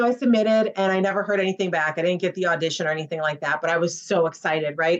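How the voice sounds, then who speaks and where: Talking at a very fast pace with hardly any pauses, a woman with a Midwestern US accent has a fairly low pitch, very even loudness and ordinary pitch variation. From Chicago, US Midwest. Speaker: actress. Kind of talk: casual interview chat.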